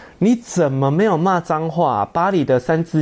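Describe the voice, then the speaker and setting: Delivered at a moderate pace, the speech has an animated tone. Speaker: podcast host. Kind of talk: comedic commentary.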